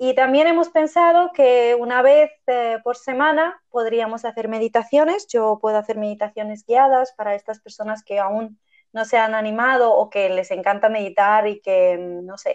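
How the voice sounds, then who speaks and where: At a fairly slow pace, a woman speaks in an ordinary speaking voice, fairly high in pitch with ordinary pitch variation. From Armenia, raised mostly in Spain. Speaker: podcast host, yoga teacher. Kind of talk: casual chat.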